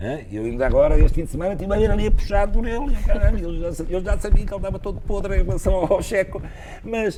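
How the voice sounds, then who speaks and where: A male speaker moves at a fairly quick pace with noticeable background noise present. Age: 60s. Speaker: retired cardiologist and former basketball player. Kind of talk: interview. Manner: hesitant, repeats words.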